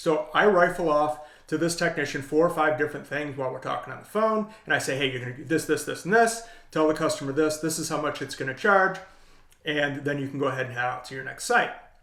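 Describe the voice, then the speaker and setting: A man with a fairly high voice talks at a very fast pace, his pitch varying in an ordinary way. His loudness swings a lot. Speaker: leadership coach. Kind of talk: tutorial. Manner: casual.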